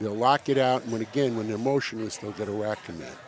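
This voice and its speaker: A man talks with ordinary pitch variation against noticeable background noise. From New York. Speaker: powerlifting meet commentator. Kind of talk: live sports commentary.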